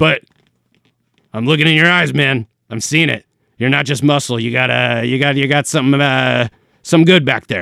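A man puts on a raspy character voice at medium pitch, moving at a moderate pace with long, frequent pauses. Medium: actual play. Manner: casual, rambling, slangy.

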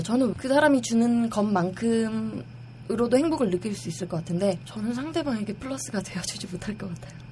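A woman with a medium pitch speaks at a fairly quick pace with hardly any pauses and very wide pitch swings. Noticeable background noise can be heard. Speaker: online forum member. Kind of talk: casual chat. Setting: studio.

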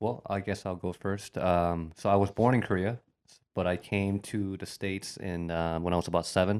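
In a Midwestern American accent, a man speaks at a moderate pace with a very deep, low pitch and fairly even intonation, on a very clean recording with a silent background. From Bowling Green, Ohio. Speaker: restaurant owner. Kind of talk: casual interview.

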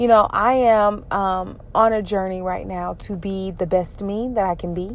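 At a fairly slow pace, a woman speaks in a Southern US accent at a medium pitch, on a very clean recording with a silent background. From Georgia, US South. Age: 30s. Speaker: podcaster. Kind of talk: personal monologue. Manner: halting, many fillers.

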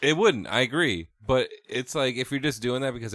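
On a very clean recording with a silent background, a man with an unremarkable speaking voice talks at a fairly quick pace with ordinary pitch variation. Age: 30s. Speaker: former podcast co-host. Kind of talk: casual chat. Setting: studio.

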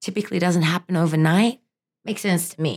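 A woman with an American accent speaks at a fairly low pitch, using ordinary pitch variation. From Australia. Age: 30s. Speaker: fitness instructor. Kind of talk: casual interview.

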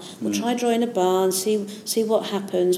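In a Yorkshire accent, a woman speaks at a medium pitch and moderate pace with monotone, flat intonation, over noticeable background noise and audible room echo. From Yorkshire, northern England. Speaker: maths teacher and education consultant. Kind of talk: interview.

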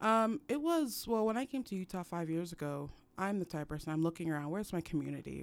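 A woman at a fairly low pitch with lively intonation, speaking at a very fast pace in a very clean recording with a silent background. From Cameroon. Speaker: community organizer. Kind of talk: radio interview.

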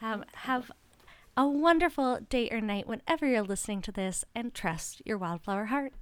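This woman has a normal speaking voice with a Canadian accent and a fairly high pitch. She talks at a moderate pace with lively intonation, on a very clean recording with a silent background. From Ontario, Canada. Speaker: podcast host, singer-songwriter. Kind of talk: casual interview chat.

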